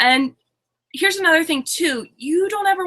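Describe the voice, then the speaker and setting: A woman projects her voice in a raised, bright, sharp tone. She keeps a moderate pace while her pitch swings very widely. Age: 20s. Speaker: online business coach. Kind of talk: webinar presentation. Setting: webinar. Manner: halting.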